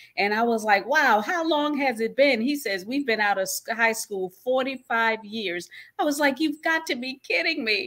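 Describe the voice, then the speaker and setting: A woman's high, bright, sharp voice with lively intonation, moderate pace and hardly any pauses, on a very clean recording with a silent background. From New York. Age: 60s. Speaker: online show host. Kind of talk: casual chat.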